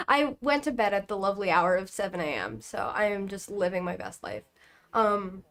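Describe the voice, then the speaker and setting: Moderate pace and ordinary pitch variation. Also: woman, medium pitch for a woman. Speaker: Minecraft esports analyst. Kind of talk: casual livestream commentary. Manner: quiet. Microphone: volume too quiet.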